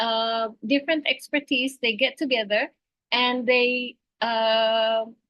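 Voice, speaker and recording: A woman speaks with an Indonesian accent. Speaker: teacher. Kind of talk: webinar discussion. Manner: halting.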